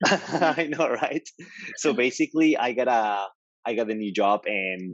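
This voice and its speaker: A man with lively intonation and a medium pitch, at a fairly slow pace, in dry, close sound with no echo. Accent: Mexican. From Mexico. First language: Spanish. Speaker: developer advocate. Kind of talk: podcast interview.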